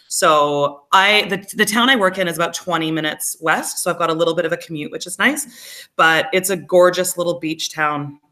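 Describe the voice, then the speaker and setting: A woman's bright, sharp, fairly low voice in an American accent, at a moderate pace with ordinary pitch variation and hardly any pauses. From Canada. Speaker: teacher. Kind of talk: casual chat.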